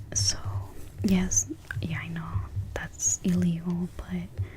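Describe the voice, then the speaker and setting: A soft-spoken woman at a fairly slow pace, with noticeable background noise. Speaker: ASMR creator. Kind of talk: personal story time.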